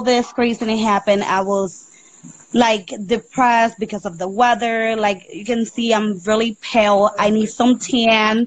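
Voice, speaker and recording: A woman speaks with a Spanish accent at a fairly slow pace. Her fairly high voice is somewhat breathy. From Puerto Rico. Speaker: mother calling in. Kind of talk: casual chat.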